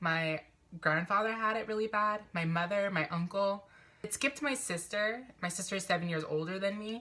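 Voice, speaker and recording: The voice has a bright, sharp tone, a moderate pace and ordinary pitch variation. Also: woman. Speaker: vlogger. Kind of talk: personal vlog confession. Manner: mumbling, stumbling over words.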